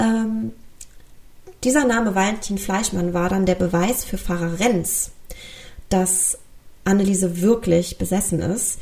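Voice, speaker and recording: A woman speaks at a fairly slow pace in a medium pitch. Her voice is somewhat breathy, with a dark, mellow tone. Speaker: true crime podcast host. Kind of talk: solo podcast narration. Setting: home recording with pet.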